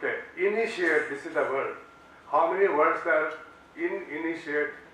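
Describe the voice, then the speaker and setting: In an Indian accent, a man with a high pitch speaks at a fairly slow pace amid audible room echo. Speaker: law professor. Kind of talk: lecture.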